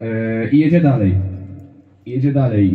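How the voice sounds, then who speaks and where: Room echo is audible around the speaker. He is a man talking at a moderate pace. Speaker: stand-up comedian. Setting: stage with audience. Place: stage.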